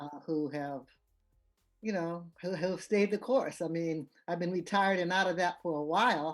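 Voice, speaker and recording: Music plays in the background as a woman talks at a moderate pace. Her pitch is fairly low, with ordinary variation. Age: 70s. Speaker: retired educator. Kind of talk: interview.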